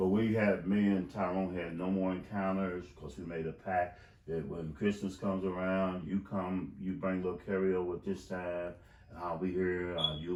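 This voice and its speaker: A man's very deep, low voice at a moderate pace, with fairly even intonation and audible room echo. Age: 60s. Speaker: wrongful conviction advocate. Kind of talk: interview. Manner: halting.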